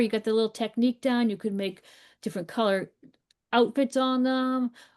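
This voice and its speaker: In a dry, close sound with no echo and a quiet background, a woman with a Boston accent speaks at a high pitch with ordinary pitch variation. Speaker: art teacher. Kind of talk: live painting class. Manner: casual, encouraging.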